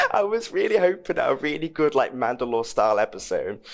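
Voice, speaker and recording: Someone with a British accent talks at a fairly quick pace. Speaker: film podcast host. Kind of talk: casual chat. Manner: halting.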